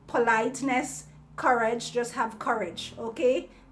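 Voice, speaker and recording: A woman speaks at a moderate pace and a fairly high pitch. Her intonation is monotone and flat, with audible room echo. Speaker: vlogger. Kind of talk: casual monologue to viewers. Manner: halting, many repetitions and fillers.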